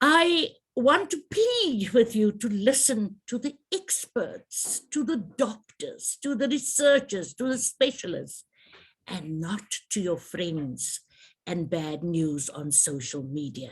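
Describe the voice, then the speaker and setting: A woman speaks very slowly in a fairly high pitch with vocal fry. Her pitch swings very widely. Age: 60s. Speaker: trade association president. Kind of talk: public health briefing address. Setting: virtual media briefing.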